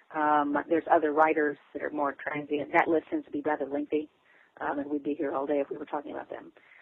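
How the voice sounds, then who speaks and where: Speech comes at a very fast pace in a Southern US accent. The intonation is monotone and flat. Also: woman, very deep, low pitch for a woman. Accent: Southern US, noticeable. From Texas and Arkansas Ozarks. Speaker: author. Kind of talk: interview, casual chat.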